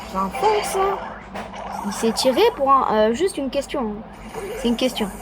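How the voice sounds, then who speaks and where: The voice makes very wide pitch swings against noticeable background noise. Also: woman, high pitch for a woman, moderate pace. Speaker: gaming youtuber. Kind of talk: gameplay commentary. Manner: softer than usual; animated.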